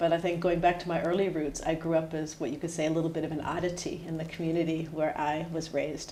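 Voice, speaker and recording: Very fast, monotone speech with flat intonation in an American accent, with noticeable background noise and audible room echo. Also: woman, fairly low pitch for a woman. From US, New Hampshire. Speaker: head of HR. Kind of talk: podcast interview.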